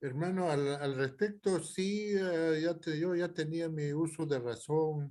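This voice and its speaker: The speaker talks at a very slow pace with hardly any pauses, using ordinary pitch variation, a dark, mellow tone, and very even loudness. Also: man, fairly high pitch for a man. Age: 70s. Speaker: student. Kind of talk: class discussion. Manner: halting.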